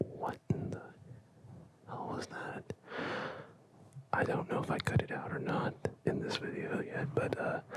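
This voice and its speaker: Someone is whispering at a fairly slow pace with long, frequent pauses, against noticeable background noise. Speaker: ASMR creator. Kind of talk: ASMR whisper video. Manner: whispered.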